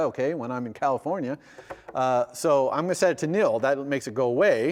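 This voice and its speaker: A man talks at a very fast pace with a fairly high pitch and ordinary pitch variation. There is noticeable background noise. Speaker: university lecturer. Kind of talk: lecture.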